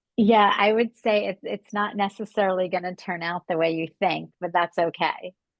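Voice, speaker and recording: Speaking with hardly any pauses at a moderate pace, a woman uses a plain, everyday voice in a medium pitch with fairly even intonation. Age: 60s. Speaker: beauty brand founder. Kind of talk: podcast interview. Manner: casual, filler-heavy.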